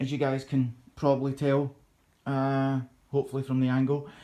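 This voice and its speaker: A Scottish accent marks this man's fairly slow speech, pitched fairly high. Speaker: YouTuber, PC hobbyist. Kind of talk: casual vlog chat. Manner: halting, many fillers.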